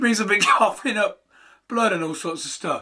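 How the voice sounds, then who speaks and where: Speaking in an English accent, a man uses a raised, projected voice with a high pitch, a bright, sharp tone and a fairly quick pace. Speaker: inventor, YouTuber. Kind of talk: casual talk to camera.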